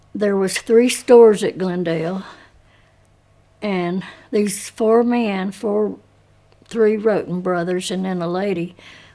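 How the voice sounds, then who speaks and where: Fairly slow speech from a woman at a medium pitch, her tone dark and mellow. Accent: Appalachian. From Appalachia, Ashe County, North Carolina. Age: 80s+. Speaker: oral history interviewee. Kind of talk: oral history interview.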